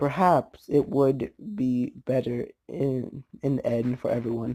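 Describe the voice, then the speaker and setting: Very slow speech from a man at a medium pitch, with ordinary pitch variation. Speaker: YouTuber reading fanfiction. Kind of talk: reading aloud. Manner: halting, repeats words.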